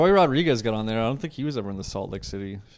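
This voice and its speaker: Mumbling at a very fast pace, a man speaks with a fairly low pitch. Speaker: podcast host, comedian. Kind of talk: casual chat. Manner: mumbles.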